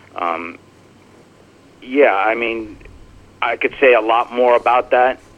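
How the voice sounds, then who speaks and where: Spoken with an American accent at a very slow pace, this voice has long, frequent pauses, ordinary pitch variation and noticeable background noise. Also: man, medium pitch for a man. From New Jersey. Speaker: novelist. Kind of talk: radio interview. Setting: remote line.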